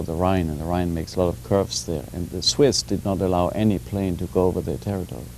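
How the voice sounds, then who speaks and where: A man talks fairly quickly in a very deep, low voice, with noticeable background noise in the recording. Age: 40s. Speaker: political foundation director. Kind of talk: TV panel discussion.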